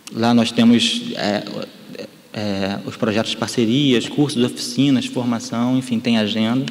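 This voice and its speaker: Against noticeable background noise and audible room echo, a man speaks fairly slowly at a medium pitch with fairly even intonation. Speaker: photo conservation specialist. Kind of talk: lecture. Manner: halting, many repetitions.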